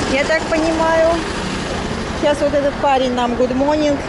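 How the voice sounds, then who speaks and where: The woman's voice is dry, with no echo, yet loud background noise surrounds it. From Russia, Saint Petersburg. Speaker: travel vlogger. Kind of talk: casual vlog talk to camera. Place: car. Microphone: phone near.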